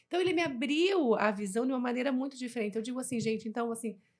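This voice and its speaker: Her high-pitched voice carries an animated tone. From southern Brazil, Jaraguá do Sul, Santa Catarina. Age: 40s. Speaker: podcast host. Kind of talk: casual interview chat.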